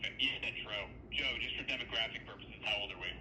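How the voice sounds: Fast-paced speech from a man with a fairly low pitch and fairly even intonation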